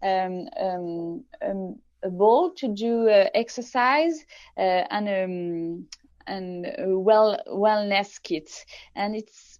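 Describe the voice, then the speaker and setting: Speaking at a very slow pace, a woman with a French accent uses lively intonation at a medium pitch. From France. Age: 30s. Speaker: tech company founder. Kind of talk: interview.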